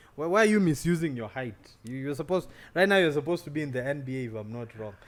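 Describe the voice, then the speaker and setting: At a very fast pace, a man speaks with lively intonation and big swings in loudness on a very clean recording with a silent background. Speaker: podcast host and poet. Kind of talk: casual interview. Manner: halting, repetitive starts.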